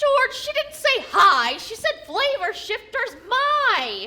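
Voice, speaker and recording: A woman uses a put-on character voice with an extremely high pitch. She speaks at a very slow pace with ordinary pitch variation. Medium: stage play.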